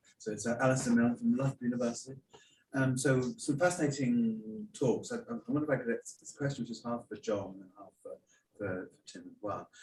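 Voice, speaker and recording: A quiet, somewhat breathy man at a medium pitch and fairly quick pace, with ordinary pitch variation and big swings in loudness. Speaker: academic audience questioner. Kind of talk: conference Q&A question. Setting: conference hall, hybrid event. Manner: too quiet at first.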